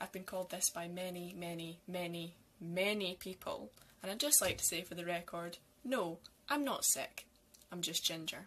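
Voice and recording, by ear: A woman talks at a moderate pace with a fairly low pitch and ordinary pitch variation. Her tone is fairly bright.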